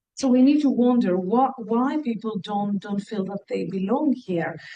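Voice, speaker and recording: A woman with a Greek accent speaks at a moderate pace, her fairly high voice dark and mellow in tone, with ordinary pitch variation. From Greece. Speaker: university researcher. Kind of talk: lecture. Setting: lecture hall with audience, also streamed online.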